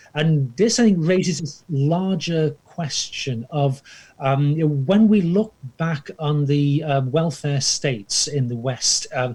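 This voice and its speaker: The man's voice comes out somewhat breathy. It sits at a fairly high pitch. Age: 60s. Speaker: historian and professor. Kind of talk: interview dialogue. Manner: hesitant, many fillers.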